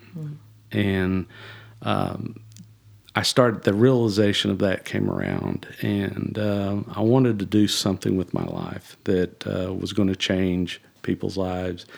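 Here a man speaks with a strong South Texas accent at a fairly low pitch. His pace is fairly slow and his intonation fairly even. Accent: strong Southern Texan. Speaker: executive pastor. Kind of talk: casual chat.

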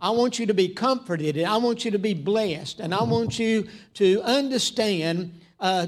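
A man with a Southern US accent, a high pitch and lively intonation. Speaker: preacher. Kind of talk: sermon. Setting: church.

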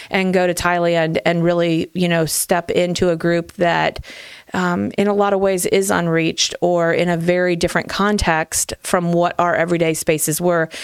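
In an American accent, a woman speaks at a fairly low pitch with monotone, flat intonation. Her loudness stays very even. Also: moderate pace. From Ohio, small town. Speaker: church family ministry director. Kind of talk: casual chat.

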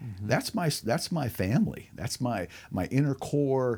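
On a very clean recording with a silent background, a man with a plain, everyday voice talks at a moderate pace with lively intonation. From moved around US as Air Force child, born in Alaska. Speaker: military veteran. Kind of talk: casual interview. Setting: at host's house.

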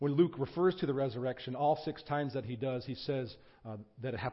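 The intonation is fairly even as the text is read aloud in a natural voice.

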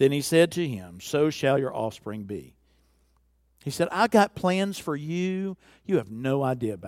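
A fairly high male voice in a Southern US accent, full of very wide pitch swings, on a very clean recording with a silent background. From US South (Alabama). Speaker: visiting preacher. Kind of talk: sermon. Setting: church.

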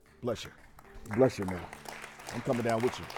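With music in the background, a man speaks in an animated, passionate tone. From Mississippi. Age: 40s. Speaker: preacher. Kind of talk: sermon. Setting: stage with audience. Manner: call-and-response, passionate.

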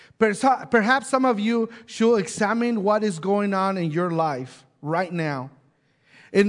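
Speaking at a fairly slow pace, a man with a high-pitched voice uses lively intonation against a quiet background. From Mexico. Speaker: pastor. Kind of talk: sermon.

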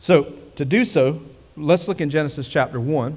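A man speaks at a medium pitch. His tone is slightly mellow.

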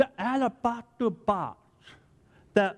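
Man's voice over a quiet background. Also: dry, close sound with no echo. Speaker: pastor. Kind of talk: sermon. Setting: church.

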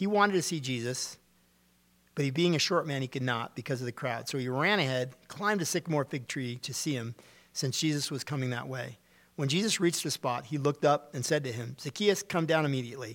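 A man with a fairly high voice talks at a fairly quick pace, with ordinary pitch variation. The recording is very clean, with a silent background. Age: 50s. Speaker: pastor. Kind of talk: sermon. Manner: conversational teaching style.

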